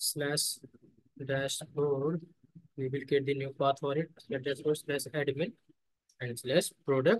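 Somewhat breathy, a man speaks at a very slow pace with long, frequent pauses. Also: fairly high pitch for a man, fairly even intonation. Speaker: programming instructor. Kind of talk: live coding class.

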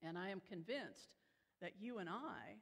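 With an American accent, a woman speaks at a moderate pace with lively intonation against a quiet background. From Chicago area, US Midwest; Illinois. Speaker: preacher. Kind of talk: sermon. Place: church.

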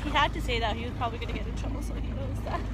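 A woman talks through loud background noise, the sound dry with no echo. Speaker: vlogger. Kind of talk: casual vlog chat. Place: boat. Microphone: phone near.

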